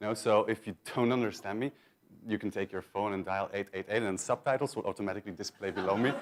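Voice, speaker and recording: This man talks at a very fast pace. His pitch is fairly low and his intonation fairly even. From Belgium. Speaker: marketing manager presenting at a conference. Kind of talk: conference presentation. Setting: stage with audience.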